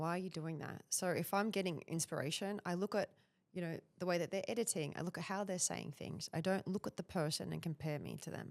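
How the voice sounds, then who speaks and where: With an Australian accent, a woman talks at a fairly quick pace in a fairly low pitch with vocal fry and fairly even intonation, the sound dry and close with no echo. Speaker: personal branding expert. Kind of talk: podcast interview.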